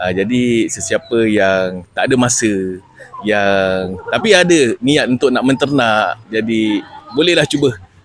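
Noticeable background noise sits under a man's voice. He talks at a fairly slow pace with lively intonation. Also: medium pitch for a man. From Malaysia, Johor (Keluang). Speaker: customer of a livestock farming scheme. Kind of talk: testimonial interview. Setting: at a farm festival. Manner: halting, many fillers.

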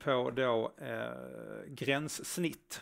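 The speaker is a man. Little to no sound comes from the surroundings. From Skåne, southern Sweden. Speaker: front-end developer, conference speaker; presenter. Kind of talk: conference talk. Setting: stage with live audience, streamed. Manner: hesitant, many filler sounds. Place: stage.

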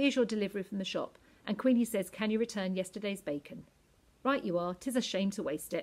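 Someone reads in an unforced voice, and the pitch varies in an ordinary way.

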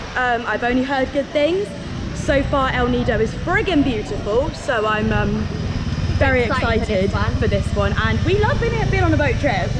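Loud background noise fills the clip. Over it, a woman speaks at a fairly quick pace. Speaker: travel vlogger. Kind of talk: casual vlog chat. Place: street. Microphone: phone near.

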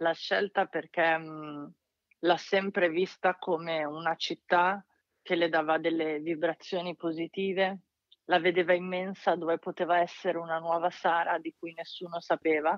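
A woman speaks in a fairly low pitch with monotone, flat intonation. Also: fairly slow pace. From northern Italy, Lake Maggiore (Arona). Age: 30s. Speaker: novelist. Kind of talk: interview.

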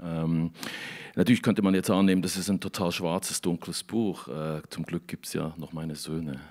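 Against a quiet background, a man with a very deep, low pitch speaks with fairly even intonation. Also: moderate pace. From Switzerland. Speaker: novelist. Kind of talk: author interview. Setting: studio in a canteen, livestream. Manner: halting, many repeated words. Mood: reflective, thoughtful. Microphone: handheld.

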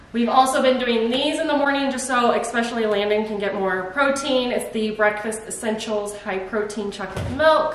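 Light background noise and audible room echo surround a woman speaking at a moderate pace with ordinary pitch variation and hardly any pauses. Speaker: mom vlogger. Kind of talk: casual vlog chat. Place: kitchen. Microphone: camera far.

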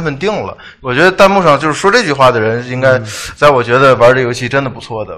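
Against a quiet background, the speaker talks at a very fast pace. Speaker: game commentator. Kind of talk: live commentary. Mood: joking, relaxed. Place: studio. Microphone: lapel.

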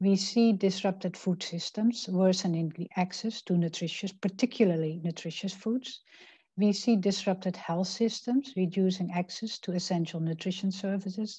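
Over a quiet background, a woman speaks at a moderate pace in a dark, mellow, somewhat breathy voice with fairly even intonation. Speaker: presenter. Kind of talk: presentation. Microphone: video call.

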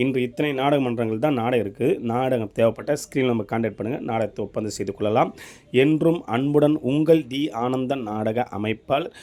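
This is a man with an unremarkable speaking voice. He talks at a medium pitch and varies it in an ordinary way. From Tamil Nadu, Tiruvannamalai district. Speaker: drama troupe booking organizer. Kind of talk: announcement.

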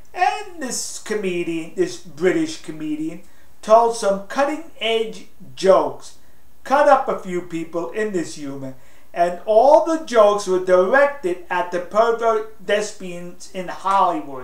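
A man's high voice with very wide pitch swings, a fairly slow pace and audible room echo. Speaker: political commentator. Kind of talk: casual opinion talk to camera. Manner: sarcastic. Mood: indignant, sarcastic. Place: home room.

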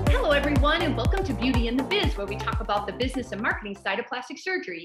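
Loud music plays in the background as a woman speaks at a very fast pace. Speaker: business consultant to plastic surgeons. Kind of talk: podcast interview host. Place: office. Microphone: video call.

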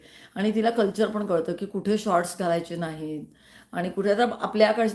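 A woman with a normal speaking voice. Her pitch is medium and her intonation fairly even. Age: 60s. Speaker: YouTuber. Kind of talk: live stream chat. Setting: live stream.

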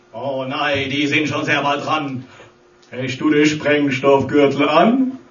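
A man at a very slow pace, with audible room echo. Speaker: cabaret comedian. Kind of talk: rhymed satirical carnival speech. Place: stage. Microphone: camera far.

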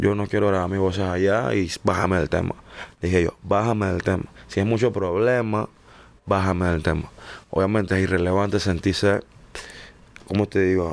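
Pausing long and often, a man with a very deep, low pitch talks with fairly even intonation. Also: moderate pace. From Panama, San Miguelito. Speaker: singer. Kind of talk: interview.

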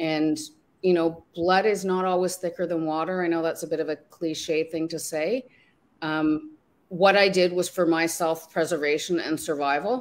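A woman speaks in a fairly low voice. Her intonation stays fairly even. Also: moderate pace. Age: 50s. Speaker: life coach. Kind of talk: interview. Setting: online video livestream. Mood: reflective, personal story. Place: home room.

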